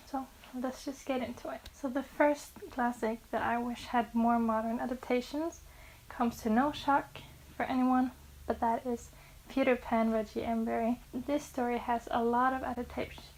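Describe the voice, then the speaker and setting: A woman with a Norwegian accent speaks in a high pitch with monotone, flat intonation. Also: moderate pace. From Norway. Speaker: book vlogger. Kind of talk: casual vlog talk to camera. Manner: occasional stumbles over English words.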